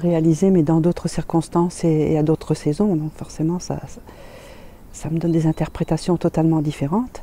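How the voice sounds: A woman's low-pitched voice, dark and mellow in tone, at a moderate pace with fairly even intonation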